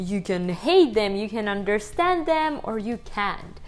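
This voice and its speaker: A woman speaks with a strong Ukrainian accent at a fairly high pitch, her voice making very wide pitch swings. Music plays in the background. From Ukraine. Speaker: language vlogger. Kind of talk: casual vlog talk to camera.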